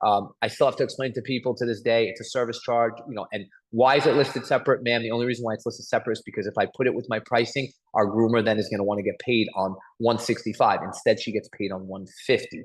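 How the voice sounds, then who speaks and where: With a Long Island accent, a man speaks at a very fast pace, his medium-pitched voice showing fairly even intonation. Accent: New York (Long Island). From Long Island, New York. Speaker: mobile grooming business owner. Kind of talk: webinar workshop talk.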